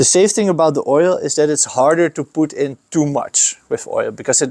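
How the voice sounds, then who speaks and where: In a Dutch accent, the speaker uses lively intonation at a moderate pace, on a dry, close recording with no echo. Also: man. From Netherlands. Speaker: skate shop owner. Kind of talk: tutorial. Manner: casual with hesitations.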